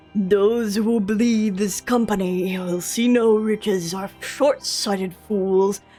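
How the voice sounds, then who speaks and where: With faint music in the background, a female-sounding put-on character voice speaks at a fairly slow pace in a medium pitch. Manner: pompous, solemn.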